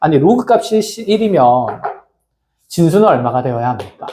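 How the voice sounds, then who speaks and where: A man talks with very wide swings in pitch. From provincial South Korea, outside Seoul. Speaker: math tutor. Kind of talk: lecture. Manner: can sound brusque, like scolding.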